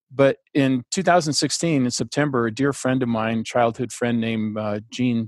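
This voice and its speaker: A man talks in an unremarkable speaking voice at medium pitch with fairly even intonation. The background is quiet. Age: 60s. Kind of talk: interview conversation. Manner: relaxed, chatty.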